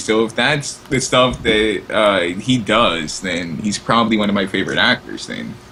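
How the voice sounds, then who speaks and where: A man speaks at a moderate pace with ordinary pitch variation. There is noticeable background noise. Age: young. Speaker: podcast co-host. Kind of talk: casual chat.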